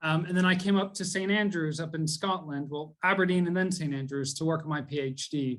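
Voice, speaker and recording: Fairly quick and with hardly any pauses, a man with an American accent talks at a fairly high pitch and keeps his intonation fairly even. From US (Texas, Atlanta, Boston). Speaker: theology tutor. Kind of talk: conversation / talk on theology. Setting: video call. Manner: many fillers, hesitant.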